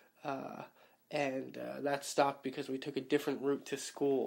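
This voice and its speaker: The speaker is a man. His words come in an American accent. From New York City (Queens). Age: 20s. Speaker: interviewee. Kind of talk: personal storytelling. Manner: casual, with many fillers.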